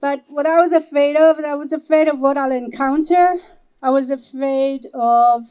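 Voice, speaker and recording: A woman speaks at a moderate pace in an Israeli accent, her high voice dark and mellow in tone, with fairly even intonation. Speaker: activist organizer. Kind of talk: speech at a vigil.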